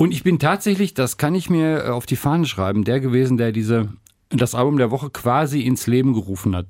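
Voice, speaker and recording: Over a very clean, silent background, a man talks in a normal speaking voice at a fairly quick pace with lively intonation. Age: 60s. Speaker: podcast co-host and radio presenter. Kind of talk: casual chat.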